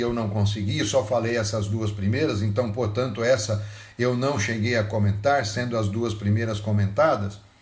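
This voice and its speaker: A man's fairly low-pitched voice with audible room echo. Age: 60s. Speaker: pastor. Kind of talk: sermon.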